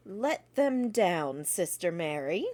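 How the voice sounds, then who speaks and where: A woman speaks in a put-on character voice. Her pitch sits in the medium range. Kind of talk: archaic speech. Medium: read story.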